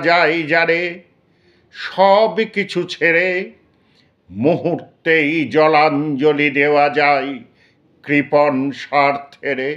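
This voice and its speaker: A man talks in an ordinary speaking voice, with very even loudness and ordinary pitch variation. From Kolkata. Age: 60s. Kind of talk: poetry reading.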